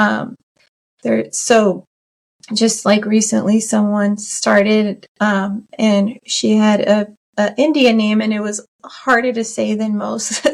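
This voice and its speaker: The delivery is monotone and flat, at a very slow pace. The voice sounds somewhat breathy. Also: woman, fairly high pitch for a woman. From US, child of Iranian immigrants. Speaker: interview guest, corporate employee. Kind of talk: podcast interview. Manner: hesitant with many fillers.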